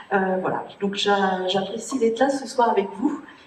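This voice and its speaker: Pitch variation is ordinary and the pace moderate. There is audible room echo along with noticeable background noise. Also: woman. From Brittany, Morbihan. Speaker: municipal election candidate. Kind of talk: self-introduction at public meeting. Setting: public meeting with microphone. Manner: halting.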